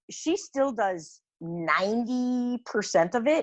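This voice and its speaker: The voice is animated with very wide pitch swings, its dry, close sound free of echo over a quiet background. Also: woman. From US Midwest, Cleveland Ohio. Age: 60s. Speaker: small business founder. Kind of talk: interview conversation.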